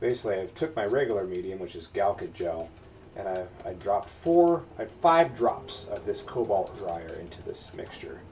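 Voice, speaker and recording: Light background noise sits behind a man with an unremarkable speaking voice and fairly low pitch. He keeps a moderate pace, with big swings in loudness. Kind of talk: casual livestream tutorial chat. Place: workshop.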